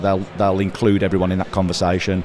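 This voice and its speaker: A man with a Midlands accent speaks at a very fast pace. His pitch is fairly low, and there is noticeable background noise. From English Midlands. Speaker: industry trade association representative. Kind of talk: casual interview at trade show. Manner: hesitant, many fillers.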